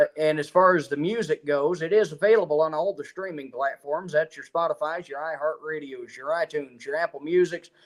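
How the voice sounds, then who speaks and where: Speaking with a strong Appalachian accent, a man talks at a fairly quick pace with hardly any pauses, a fairly high pitch, fairly even intonation and big swings in loudness, in a dry, close sound with no echo. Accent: strong Appalachian country twang. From Eastern Kentucky, Appalachia. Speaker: country musician. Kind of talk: interview. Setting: live stream.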